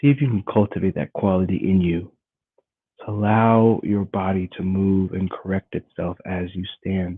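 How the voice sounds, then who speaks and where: Soft-spoken and calm in tone, a man talks at a moderate pace. His very deep, low pitch follows fairly even intonation. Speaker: qigong and meditation teacher. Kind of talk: guided meditation. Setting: live stream.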